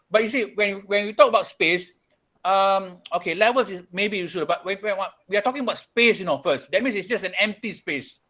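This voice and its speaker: Raising and projecting his voice, a man talks at a fairly quick pace with a high pitch, ordinary pitch variation and a bright, sharp tone, on a very clean recording against a silent background. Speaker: architecture studio tutor. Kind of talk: lecture. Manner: fast; repetitive, stammering restarts.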